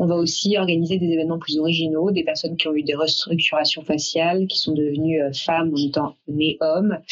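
A woman's fairly low, monotone voice, very even in loudness, at a fairly quick pace with hardly any pauses, over noticeable background noise. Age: 30s. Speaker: event planner, company founder. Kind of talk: interview. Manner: hesitant, many filler sounds.

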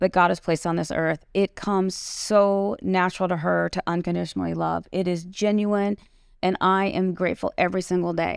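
This woman has an unremarkable speaking voice with an American accent, fairly low in pitch. She talks at a fairly quick pace with fairly even intonation. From small town US. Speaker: podcast host and author. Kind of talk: casual chat. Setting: studio.

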